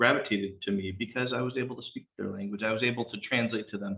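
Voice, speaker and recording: A man speaks at a fairly quick pace in a Californian accent. His pitch sits in the medium range. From San Rafael, California (Marin County). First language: Spanish. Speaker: police captain. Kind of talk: panel talk.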